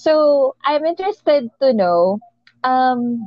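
A woman's voice with lively intonation. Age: 30s. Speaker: podcast host. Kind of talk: casual interview.

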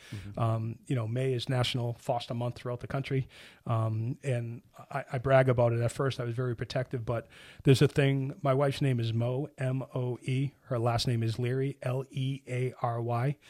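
On a very clean recording with a silent background, a man with a Boston accent speaks in monotone, flat intonation at a moderate pace and a medium pitch. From Boston, Hyde Park. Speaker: construction executive and charity founder. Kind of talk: interview.

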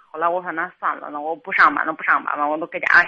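Fairly quick and fairly low-pitched, a woman talks. Her intonation is monotone and flat. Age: 30s. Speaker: caller seeking marriage advice. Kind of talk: phone-in advice call. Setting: phone call. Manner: halting. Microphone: volume fluctuates, sometimes too quiet.

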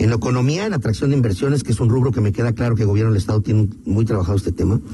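There is noticeable background noise behind this man, whose medium-pitched voice has ordinary pitch variation. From Mexico, León, Guanajuato. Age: 50s. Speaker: political candidate. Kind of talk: radio interview.

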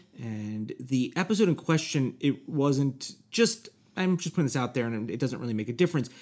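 The man has a normal speaking voice, pitched fairly high, and his intonation stays lively as he talks at a moderate pace. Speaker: podcast co-host. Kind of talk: comedic banter.

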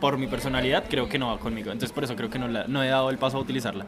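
Noticeable background noise surrounds a man speaking at medium pitch with fairly even intonation. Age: 20s. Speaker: friend of the host. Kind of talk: casual chat. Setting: outdoors, drinking beer with friends.

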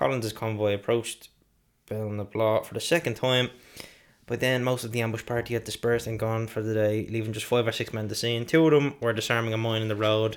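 A man talks at a very fast pace and a medium pitch, his intonation fairly even. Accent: Irish. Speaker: podcast co-host. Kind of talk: reading from notes; casual chat.

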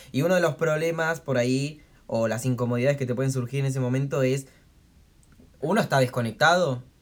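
Her counterpart here is a man who talks fairly fast. His intonation is fairly even throughout. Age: 20s. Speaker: podcast co-host. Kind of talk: casual chat. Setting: home, recorded on a tablet.

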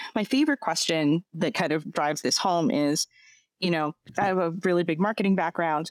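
A normal speaking voice with an American accent at a moderate pace, dry and close with no echo, on a very clean recording with a silent background. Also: woman. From US East Coast. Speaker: tech company CEO. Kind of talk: casual interview.

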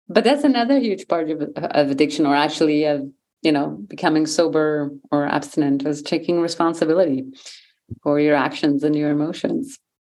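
In a very deep, low voice with a dark, mellow tone, a woman talks at a fairly quick pace with fairly even intonation. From Switzerland. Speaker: yoga teacher and author. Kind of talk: casual interview conversation.

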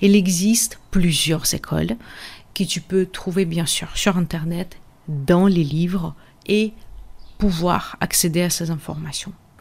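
A woman speaks at a very slow pace with long, frequent pauses. Her voice is somewhat breathy, with fairly even intonation. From Russia. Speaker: podcast host and energy therapist. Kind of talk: casual teaching monologue. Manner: hesitant, frequent fillers.

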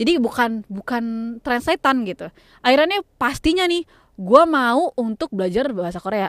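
A woman speaks at a moderate pace in a high pitch with very wide pitch swings. The sound is dry and close, with no echo. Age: 20s. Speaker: podcaster. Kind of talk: casual monologue. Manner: code-switching English and Indonesian.

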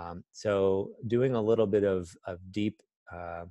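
A fairly low-pitched man at a very slow pace, in a dry, close sound with no echo. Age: 50s. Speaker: life coach. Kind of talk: casual interview. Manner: hesitant, many fillers.

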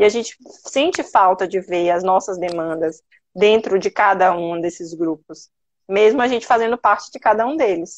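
A woman with a Bahian accent, medium pitch and ordinary pitch variation. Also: moderate pace. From Bahia, Brazil. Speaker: lawyer. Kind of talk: live interview.

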